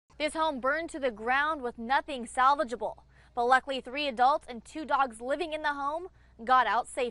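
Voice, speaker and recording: Raising and projecting her voice, a woman talks at a high pitch and fairly quick pace in a bright, sharp tone with ordinary pitch variation. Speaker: news reporter and anchor. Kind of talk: TV news field report.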